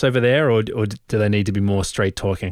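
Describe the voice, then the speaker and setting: A man with an Australian accent talks at a very fast pace, his intonation fairly even. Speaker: podcast co-host, creative professional. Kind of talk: casual chat. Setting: remote call.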